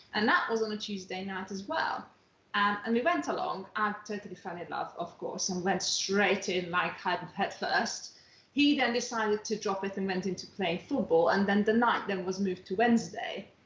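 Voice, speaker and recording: At a moderate pace and medium pitch, a woman talks with ordinary pitch variation over noticeable background noise. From outside England. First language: not English. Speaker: dance teacher. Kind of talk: casual interview chat.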